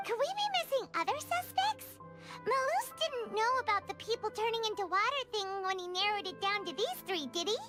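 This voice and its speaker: Over clear music in the background, a put-on character voice at an extremely high pitch talks at a fairly quick pace. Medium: video game. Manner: blunt, chatty.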